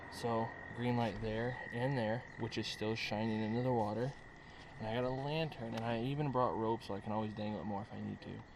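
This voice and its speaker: Audible room echo surrounds a man's medium-pitched voice. He talks at a fairly quick pace with fairly even intonation. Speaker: fishing vlogger. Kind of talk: casual vlog narration. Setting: outdoors in a boat at night.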